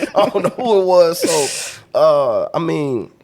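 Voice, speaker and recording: A man is speaking. He has a Louisiana accent. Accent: Louisiana Southern US. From US South, Louisiana. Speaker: podcast guest. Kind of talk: casual chat.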